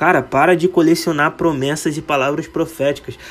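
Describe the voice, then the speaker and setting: Over noticeable background noise, a man speaks in a high voice. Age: 20s. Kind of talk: devotional monologue. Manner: casual.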